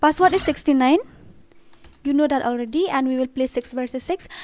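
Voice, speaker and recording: With a northeastern Indian accent, a woman talks at a high pitch and fairly quick pace, her pitch varying in an ordinary way. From Northeast India, Khasi. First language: Khasi. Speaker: gaming streamer. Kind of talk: live gaming stream chat. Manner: animated.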